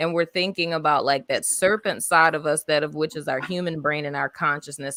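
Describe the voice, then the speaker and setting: A woman talks in a New Orleans accent with a very deep, low pitch. Her tone is animated and her pace fairly quick. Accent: New Orleans Southern US. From US South, New Orleans. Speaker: tarot reader. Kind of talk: live stream tarot reading.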